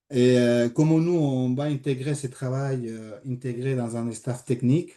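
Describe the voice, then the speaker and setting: Speaking at a fairly slow pace, a man has a slight Spanish accent and a dark, mellow tone. His intonation stays fairly even. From Spain. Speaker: sport psychologist. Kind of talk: online presentation. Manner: hesitant, many fillers.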